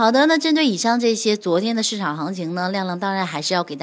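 The speech moves at a fairly quick pace, its pitch swinging very widely. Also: woman. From northern China. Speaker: financial radio host. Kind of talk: market news broadcast.

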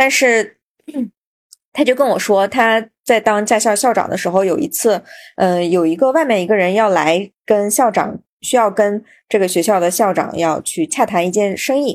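A woman with a normal speaking voice, medium pitch, ordinary pitch variation and a moderate pace, on a very clean recording with a silent background. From Xinjiang, China. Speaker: podcast host. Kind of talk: casual interview chat.

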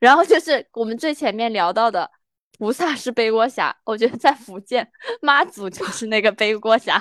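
A woman's voice, an unremarkable speaking voice, fairly high in pitch with lively intonation and a dry, close sound with no echo. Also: moderate pace. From Sichuan, China. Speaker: podcast co-host. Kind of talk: casual chat.

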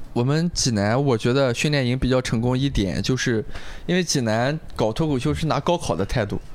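A man speaks with a Shandong accent at a fairly quick pace. His loudness stays very even, and his pitch varies in an ordinary way. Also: medium pitch for a man. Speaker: stand-up comedian and comedy writer. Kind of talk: casual chat.

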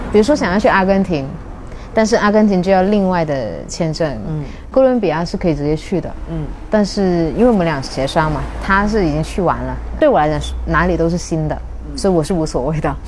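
With a slight Cantonese accent, a woman speaks at a fairly low pitch with lively intonation, over noticeable background noise and audible room echo. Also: fairly quick pace. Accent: slight Cantonese accent in Mandarin. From Shunde, Guangdong, southern China. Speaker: former neuroscience and language researcher, traveller. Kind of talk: casual interview chat.

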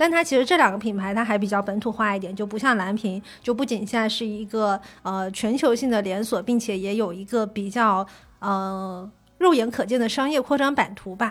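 A woman at a fairly high pitch, talking at a moderate pace. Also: ordinary pitch variation, very clean recording, silent background. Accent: Fujian. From Fujian, China. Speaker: coffee industry worker. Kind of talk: casual chat.

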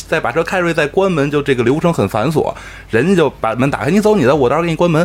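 A man talks at a fairly high pitch while noticeable background noise plays behind him. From Beijing. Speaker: podcast co-host. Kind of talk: casual chat.

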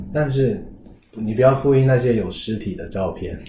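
A man with a Taiwanese accent speaks at a fairly quick pace and medium pitch. His voice is somewhat breathy, with a dark, mellow tone. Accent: Taiwanese-accented Mandarin. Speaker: podcast host and counselor. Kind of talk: casual interview chat.

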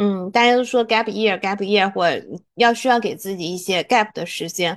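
A woman with a normal speaking voice talks at a moderate pace and a medium pitch, with ordinary pitch variation, against a quiet background. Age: 30s. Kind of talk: casual chat.

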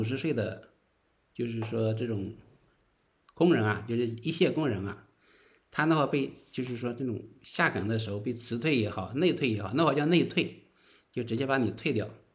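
A somewhat breathy man with lively intonation, at a moderate pace with long, frequent pauses, in audible room echo. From northern China. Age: 40s. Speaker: interview guest sharing life story. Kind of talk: casual interview. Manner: halting, many filler words.

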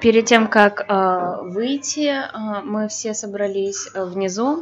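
A woman at medium pitch, speaking at a very slow pace. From Belarus. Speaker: language student. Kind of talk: casual chat. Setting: cafe. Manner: halting.

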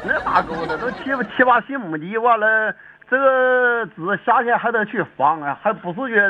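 A man's high voice with lively intonation at a fairly slow pace. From Dalian area, Liaoning (northeast China). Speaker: farmer. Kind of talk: casual chat.

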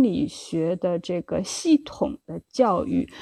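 A woman with a dark, mellow tone speaks against a quiet background. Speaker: developmental psychologist. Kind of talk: solo livestream lecture. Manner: halting, many fillers.

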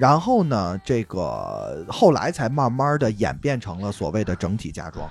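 With noticeable background noise behind him, a man with a Beijing accent speaks at a fairly slow pace in a medium pitch, swinging very widely in pitch and hardly pausing. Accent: Beijing accent, audible. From Beijing, grew up in the hutongs. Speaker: musician in a band, podcast guest. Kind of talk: casual chat.

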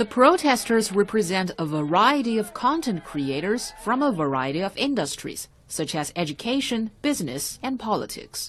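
Speaking with hardly any pauses, a woman with a fairly high voice and vocal fry uses very wide pitch swings. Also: moderate pace. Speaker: news reporter. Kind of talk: newsreading, scripted report. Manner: formal, even, neutral tone.

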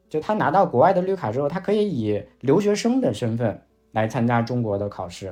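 Music plays in the background as a man speaks at a fairly quick pace. His pitch is medium, with very wide swings. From Shanxi, China. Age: 30s. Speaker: finance video creator. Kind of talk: casual chat.

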